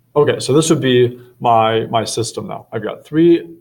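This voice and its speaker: A man's somewhat breathy voice at a medium pitch. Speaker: math teacher. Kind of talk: tutorial.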